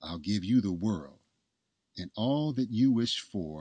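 A man with a dark, mellow tone and fairly low pitch speaks calmly at a fairly slow pace, his pitch swinging very widely against a quiet background. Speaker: audiobook narrator. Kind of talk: literary audiobook reading, scripted storytelling narration. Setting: studio podcast recording. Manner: calm, measured, storybook-like pacing; warm, earnest, gently romantic.

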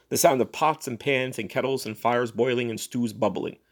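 The recording carries a natural reading voice.

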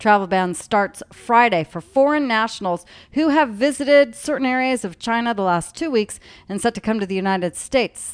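An ordinary speaking voice with lively intonation at a moderate pace, set against a quiet background. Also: woman. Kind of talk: news reading. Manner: formal, brisk, steady newscaster delivery.

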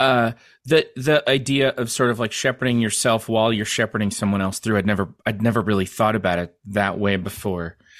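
The man has a plain, everyday voice with a fairly low pitch and ordinary pitch variation. He talks at a fairly quick pace with hardly any pauses. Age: 50s. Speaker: podcast host. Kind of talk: casual interview chat. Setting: video call with internet drops.

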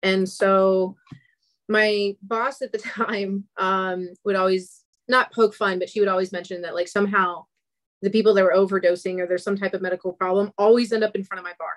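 A woman with a normal speaking voice and an American accent talks at a moderate pace and medium pitch, with fairly even intonation, in a dry, close sound with no echo. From US South, Atlanta. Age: 30s. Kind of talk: casual interview chat.

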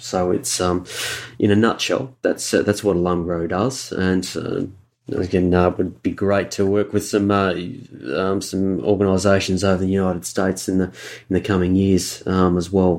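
In an Australian accent, a man with a very deep, low pitch speaks at a moderate pace in a flat monotone. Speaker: university fundraising and alumni relations professional. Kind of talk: casual interview conversation. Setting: remote call.

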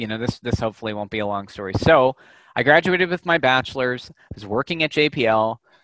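A man talks at a fairly quick pace with a Californian accent. His pitch variation is ordinary. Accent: Californian American. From Southern California, Santa Clarita. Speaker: data scientist and professor. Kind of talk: interview.

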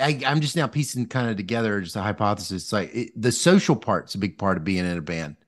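A man speaks with a Southern US accent and very wide pitch swings. The background is quiet. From US South, Mississippi. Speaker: podcast host, economics professor. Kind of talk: interview conversation. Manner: halting, many fillers and restarts.

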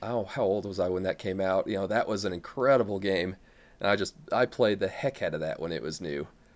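Recorded very cleanly against a silent background, a man with a Midwestern American accent speaks at a fairly quick pace and fairly low pitch, with ordinary pitch variation. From US Midwest. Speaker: Twitch streamer and gamer. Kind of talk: casual chat.

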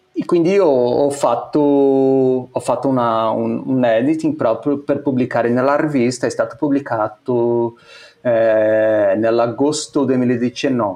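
Here a man talks at a medium pitch. His pace is very slow. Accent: Portuguese. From Brazil. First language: Portuguese (speaking Italian). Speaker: photographer. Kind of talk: casual interview. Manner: halting, many repetitions.

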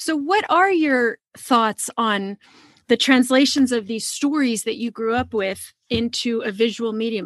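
A normal speaking voice with lively intonation, recorded dry and close with no echo. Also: woman. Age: 50s. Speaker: podcast host. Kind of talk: interview.

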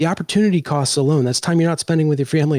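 A man with an American accent speaks in an ordinary speaking voice at a fairly high pitch with ordinary pitch variation. The sound is dry and close with no echo, in a very clean recording with a silent background. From Washington, D.C. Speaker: podcast host. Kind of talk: casual chat.

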